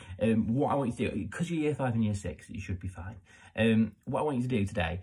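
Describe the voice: Someone does a plain reading aloud with lively intonation.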